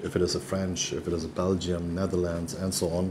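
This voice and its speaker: With a German accent, a man with a very deep, low pitch talks at a moderate pace over light background noise. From Germany. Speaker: real estate company executive. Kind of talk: interview. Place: office. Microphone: lapel.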